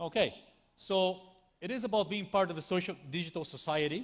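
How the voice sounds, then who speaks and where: In a Brazilian accent, a man speaks with a high pitch and lively intonation. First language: Portuguese. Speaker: tech company speaker. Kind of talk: conference talk. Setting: stage with audience. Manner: animated.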